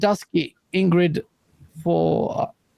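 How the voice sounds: A man with a high voice for his sex, dark and mellow in tone, with vocal fry. He speaks slowly, his intonation fairly even.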